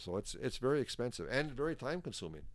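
A man with an Upper Midwest accent talks at a fairly quick pace in a very clean recording with a silent background. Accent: Upper Midwest (Minnesota). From Northern Minnesota. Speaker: sauna stove manufacturer. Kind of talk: casual chat. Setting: in person at his workplace. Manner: animated.

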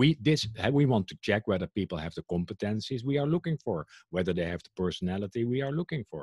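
Dry, close sound with no echo carries a somewhat breathy man talking at a fairly quick pace, his medium pitch swinging very widely. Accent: Dutch. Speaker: HR trend institute director and speaker. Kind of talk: casual interview conversation. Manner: hesitant, many fillers, opinionated.

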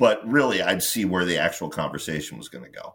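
This very clean recording with a silent background features a man with a very deep, low pitch and ordinary pitch variation. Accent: American. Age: 50s. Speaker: horror author and podcaster. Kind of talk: casual chat.

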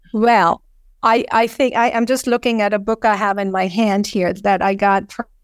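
The recording is very clean and silent in the background, dry and close with no echo. A woman at medium pitch speaks at a moderate pace with fairly even intonation. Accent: German. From Germany. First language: German. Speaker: naturist advocate. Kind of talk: interview.

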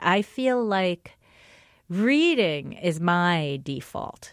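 Animated and lively in intonation, a woman with a fairly low pitch speaks on a very clean recording with a silent background. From New Jersey. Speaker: writer and newspaper columnist. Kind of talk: casual interview.

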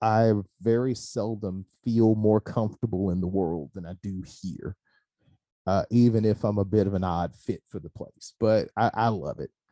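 Speaking with a Mississippi accent, a man with a fairly low pitch and a dark, mellow tone keeps a fairly even intonation through big swings in loudness, in a dry, close sound with no echo. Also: moderate pace. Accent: US Southern, Mississippi. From Mississippi Delta, Hollandale. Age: 30s. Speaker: high school teacher. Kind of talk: casual interview.

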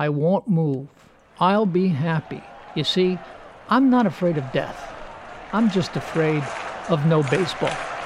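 Over crowd noise in the background, a man with a high pitch and lively intonation talks at a fairly slow pace, leaving long, frequent pauses. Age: 70s. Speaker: humorist. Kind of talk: comedic monologue.

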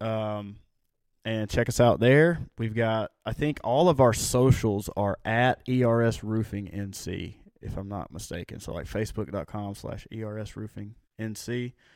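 A plain, everyday voice with ordinary pitch variation, big swings in loudness and a moderate pace, on a very clean recording with a silent background. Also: man, medium pitch for a man. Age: 30s. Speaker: roofing business owner. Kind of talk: casual chat.

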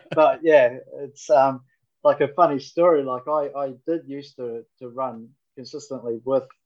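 A New Zealand accent at a moderate pace. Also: man. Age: 40s. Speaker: firefighter and station officer. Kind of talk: interview.

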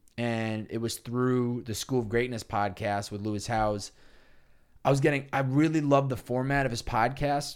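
A man with an American accent and a normal speaking voice, medium in pitch, at a moderate pace with fairly even intonation, on a very clean recording with a silent background. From Massachusetts, Chicopee. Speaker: podcast host. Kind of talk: casual chat.

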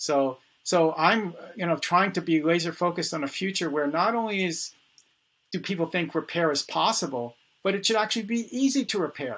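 With an American accent, a man talks at a fairly quick pace in a high pitch with lively intonation. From New York City (Bronx). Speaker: repair activist, founder of community repair events. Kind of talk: casual interview conversation.

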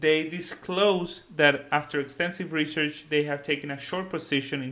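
A man's voice sits fairly high, with a bright, sharp tone and fairly even intonation. He speaks with a Spanish accent. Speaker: finance YouTuber. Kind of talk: video commentary on a research report. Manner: casual, hesitant with many fillers.

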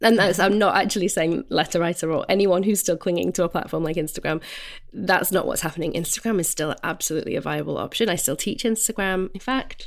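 A woman speaks very fast with vocal fry. The recording is very clean, and the background is silent. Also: medium pitch for a woman, ordinary pitch variation. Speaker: podcast co-host. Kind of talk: casual advice chat.

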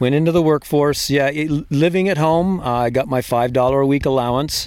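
With an American accent, a man talks at a fairly high pitch in a slightly mellow tone, his pitch varying in an ordinary way. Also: fairly quick pace.

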